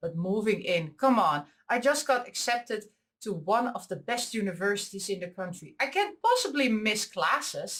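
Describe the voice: A woman speaks at a medium pitch and a moderate pace. Her tone is fairly bright, with big pitch swings.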